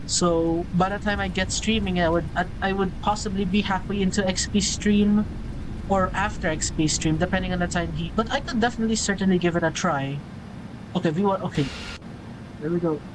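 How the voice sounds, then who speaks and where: In a Filipino accent, a woman speaks at a fairly quick pace and medium pitch, her intonation fairly even, with audible room echo. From Philippines. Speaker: flight sim streamer. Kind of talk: live gameplay stream commentary.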